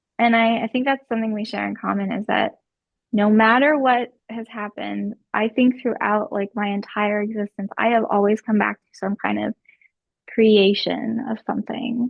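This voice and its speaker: A woman with a plain, everyday voice talks at a moderate pace and a fairly high pitch. Her intonation stays fairly even while her loudness swings widely. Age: 30s. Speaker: content creator. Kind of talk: casual chat.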